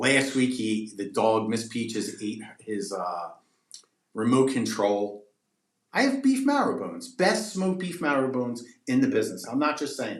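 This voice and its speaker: With lively intonation and big swings in loudness, a man talks at a moderate pace and medium pitch amid audible room echo. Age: 40s. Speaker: pet treat business owner. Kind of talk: casual podcast interview.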